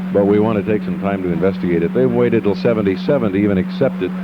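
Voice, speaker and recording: A man at a very fast pace with very wide pitch swings, music playing behind him. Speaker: radio station general manager. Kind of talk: casual speech about station history.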